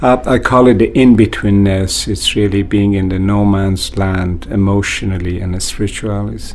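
With noticeable background noise behind him, a man speaks in a fairly low pitch with hardly any pauses. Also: ordinary pitch variation, moderate pace. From Iran, Kurdish border town. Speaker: author and university administrator. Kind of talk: interview.

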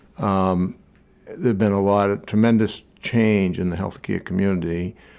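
A man's unremarkable speaking voice, fairly low in pitch, with ordinary pitch variation and a very clean recording over a silent background. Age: 60s. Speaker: medical association executive. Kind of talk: interview.

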